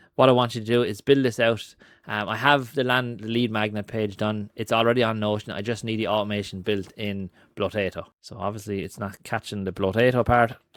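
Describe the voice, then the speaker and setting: Against a quiet background with a dry sound and no echo, a man with a strong Irish accent speaks fairly quickly in a fairly low pitch, monotone and flat. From Ireland. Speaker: marketing and AI content creator; tutorial creator. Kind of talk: screen-recorded tutorial; screen-share tutorial. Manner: casual with frequent fillers (um, uh).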